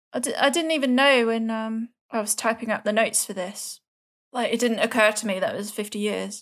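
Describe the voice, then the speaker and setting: In a very clean recording with a silent background, a woman with an ordinary speaking voice talks at a fairly quick pace, fairly high in pitch, with fairly even intonation. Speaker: true crime podcast host. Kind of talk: casual chat.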